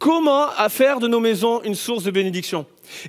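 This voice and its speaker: A man with extremely high pitch talks at a moderate pace with lively intonation. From southwestern France, Bordeaux. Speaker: pastor. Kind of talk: sermon. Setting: church. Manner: animated.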